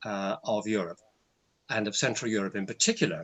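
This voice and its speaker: The man talks fairly quickly. He has an English accent. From England. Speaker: university lecturer. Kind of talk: webinar presentation.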